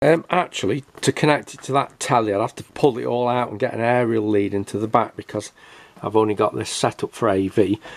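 Speaking at a fairly quick pace, a man with a fairly low pitch and vocal fry keeps his intonation fairly even.

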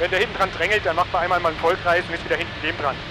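A man's voice with a dry sound, no echo, and noticeable background noise. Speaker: pilot vlogger. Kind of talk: casual vlog chat. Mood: amused, laughs. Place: plane. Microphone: headset.

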